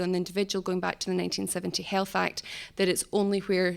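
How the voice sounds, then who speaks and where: Monotone and flat, a woman speaks at a very fast pace. Her pitch is medium. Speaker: human rights project coordinator. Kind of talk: conference talk. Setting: conference stage with audience.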